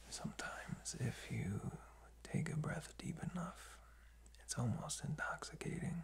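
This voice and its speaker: A soft-spoken man is talking. His pace is fairly slow. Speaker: sleep-relaxation host. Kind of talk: soft-spoken sleep guidance, ASMR-like. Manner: soft, hushed, drowsy bedtime voice. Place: home room. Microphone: phone near.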